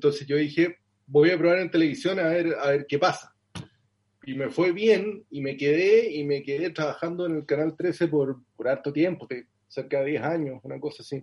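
A man with a normal speaking voice, fairly high pitch, ordinary pitch variation and a moderate pace. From southern Chile (Concepción, Los Ángeles). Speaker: journalist and author. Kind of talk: interview.

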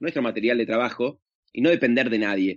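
A man is speaking. He has an Argentine accent. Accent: Rioplatense Argentine Spanish. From Argentina. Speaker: actor and social media comedian. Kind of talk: casual interview chat. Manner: halting, many fillers and repetitions.

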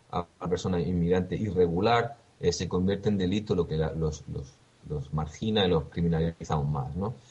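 With ordinary pitch variation, the man keeps his speech at a moderate pace. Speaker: radio news presenter. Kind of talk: news reading. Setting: remote via Skype. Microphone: connection dropping at times.

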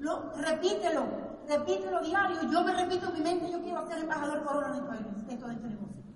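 Pitched extremely high, a woman speaks very fast with hardly any pauses, in an animated tone with lively intonation. Audible room echo surrounds her. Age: 50s. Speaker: network marketing speaker. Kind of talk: motivational talk.

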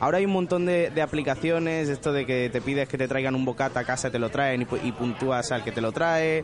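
A man's fairly high voice moves at a fairly quick speed with ordinary pitch variation, noticeable background noise running beneath it. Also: very even loudness. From Benalmádena, Spain. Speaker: podcast critic. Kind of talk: casual chat.

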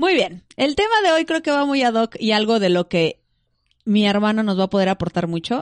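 A woman's normal speaking voice with lively intonation at a moderate pace, dry and close with no echo against a quiet background. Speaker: podcast host. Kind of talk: reading aloud; casual chat.

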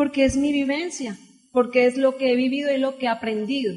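Her tone is animated. The woman's voice is high-pitched, with ordinary pitch variation. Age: 30s. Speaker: network marketing speaker. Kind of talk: motivational talk.

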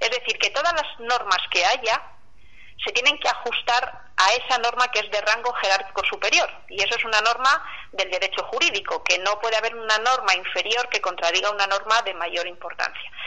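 Noticeable background noise accompanies a woman with a fairly high pitch. She keeps a moderate pace and ordinary pitch variation. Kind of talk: testimony. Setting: phone call.

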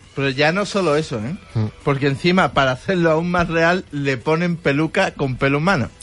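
With music in the background, a man with a fairly high voice talks at a moderate pace with hardly any pauses. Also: ordinary pitch variation. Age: 20s. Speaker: radio co-host. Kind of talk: casual chat. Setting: studio.

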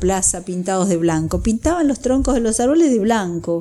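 A woman speaks at a fairly quick pace. Noticeable background noise can be heard behind her. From Buenos Aires province, Argentina. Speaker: pulmonologist. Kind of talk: expert interview.

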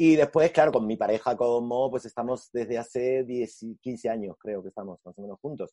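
The voice has a dark, mellow tone with big swings in loudness. The sound is dry and close, with no echo. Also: man, medium pitch for a man, ordinary pitch variation, moderate pace, hardly any pauses. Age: 40s. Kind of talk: casual chat.

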